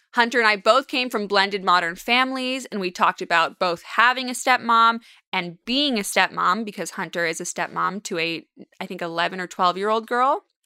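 A woman with a Californian accent speaks at a fairly quick pace in a medium pitch, her tone bright, sharp and animated, with ordinary pitch variation on a very clean recording with a silent background. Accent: Californian American. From Los Angeles (Westwood / Beverly Hills). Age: 20s. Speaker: podcast host. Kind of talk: casual chat.

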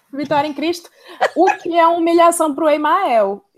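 A woman speaks at a moderate pace. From Ceará, Brazil. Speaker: advertising copywriter. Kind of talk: casual chat.

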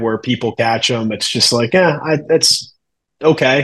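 A man's plain, everyday voice, medium in pitch, at a fairly slow pace. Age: 30s. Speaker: wrestling podcast host. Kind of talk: casual chat.

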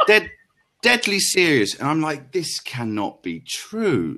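A man with a London accent speaks with very wide pitch swings. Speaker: podcast guest, travel storyteller. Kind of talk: casual chat. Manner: animated.

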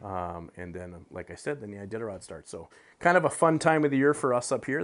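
A normal speaking voice with an American accent, fairly quick and lively in intonation, against a quiet background. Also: man. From US Midwest, Upper Peninsula of Michigan. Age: 40s. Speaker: outdoor TV and radio host. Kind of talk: casual interview chat. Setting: remote call.

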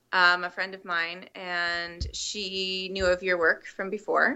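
A woman speaks at a fairly slow pace in a medium pitch with an ordinary speaking voice and a Canadian accent. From British Columbia, Canada. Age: 30s. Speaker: podcast guest, fitness challenge participant. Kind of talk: casual interview. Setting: Skype call.

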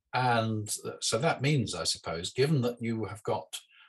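A man with a British accent speaks at a moderate pace in a somewhat breathy voice. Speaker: podcast host. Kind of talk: interview.

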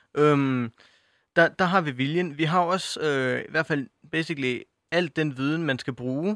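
With a fairly high pitch and ordinary pitch variation, a man speaks at a fairly slow pace in a dry, close sound with no echo. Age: young. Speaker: youth panel member, student. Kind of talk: radio panel discussion. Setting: studio. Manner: halting, many fillers and repetitions.

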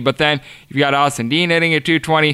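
Bright and sharp in tone, a man speaks on a very clean recording with a silent background. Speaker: sports betting podcast host. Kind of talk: betting analysis monologue. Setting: studio. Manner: fast talker.

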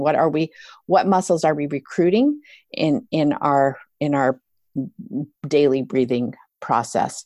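On a very clean recording with a silent background, a woman speaks at a very deep, low pitch in a dark, mellow tone. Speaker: yoga therapist and author. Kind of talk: interview. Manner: talks on without many pauses.

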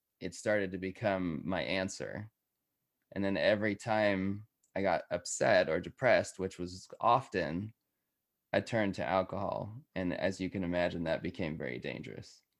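A man with a plain, everyday voice and an American accent, fairly low in pitch, at a moderate pace over a quiet background. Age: 30s. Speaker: podcast host and guest sharing life story. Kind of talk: interview, personal story.

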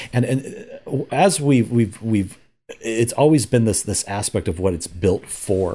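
The voice has a dark, mellow tone, somewhat breathy, with lively intonation at a fairly slow pace. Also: man, medium pitch for a man. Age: old. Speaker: security company staff. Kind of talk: interview.

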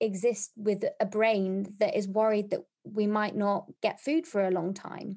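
Speaking at a moderate pace, a woman has a fairly high pitch and a dark, mellow tone. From South Africa, then England from childhood. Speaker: clinical psychology doctoral student. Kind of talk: interview. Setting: remote call. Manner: hesitant, many fillers.

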